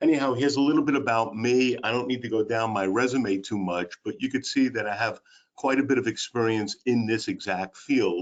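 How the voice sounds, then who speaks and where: In a strong Brooklyn accent, a man talks at a fairly quick pace in a medium pitch with hardly any pauses. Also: ordinary pitch variation. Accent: heavy Brooklyn. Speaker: special education and employment specialist. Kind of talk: webinar presentation. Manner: enthusiastic.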